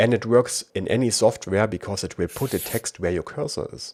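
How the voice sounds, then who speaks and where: On a very clean recording with a silent background, a man with a German accent speaks at a fairly low pitch with lively intonation. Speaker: tech reviewer. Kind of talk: tutorial.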